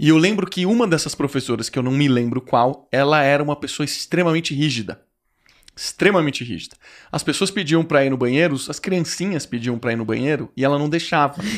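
A man speaks fairly quickly with a quiet background behind him. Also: ordinary pitch variation. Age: 30s. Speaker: podcast host. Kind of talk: casual interview chat. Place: studio. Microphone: studio mic.

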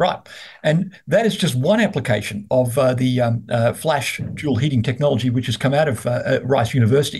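A man with an Australian accent talks at a moderate pace, with very even loudness and ordinary pitch variation. His voice is somewhat breathy against a quiet background. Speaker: investment research host. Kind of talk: business interview. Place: office. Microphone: video call.

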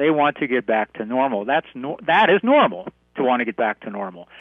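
The background stays quiet. A man talks at a fairly quick pace. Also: dry sound with no echo. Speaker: radio guest. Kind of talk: interview answer.

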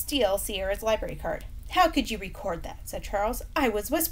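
This recording is plain reading aloud.

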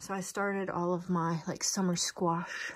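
A woman speaks in a somewhat breathy voice. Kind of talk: casual vlog chat. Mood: enthusiastic, pleased. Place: home room. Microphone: phone near.

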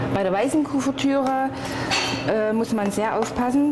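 Noticeable noise fills the background. A woman talks with ordinary pitch variation. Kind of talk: cooking tutorial. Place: kitchen.

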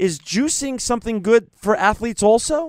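A man's high voice with lively intonation, dry with no echo, over a quiet background. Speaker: radio show host. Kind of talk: radio interview hosting. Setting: studio. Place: studio.

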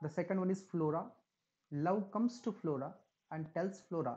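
This man talks at a high pitch with ordinary pitch variation. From India. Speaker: english lecturer. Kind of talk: lecture. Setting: recorded online class. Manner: halting. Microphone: webcam.

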